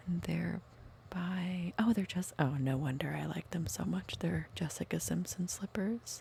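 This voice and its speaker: Soft-spoken, a woman talks at a fairly slow pace. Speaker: ASMR creator. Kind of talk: casual chat.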